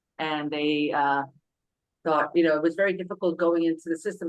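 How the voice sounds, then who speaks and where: Very fast speech in a New York accent with monotone, flat intonation. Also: woman. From New York City (Brooklyn). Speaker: parent advocate. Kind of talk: self-introduction at public meeting. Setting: public council meeting. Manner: halting, many fillers.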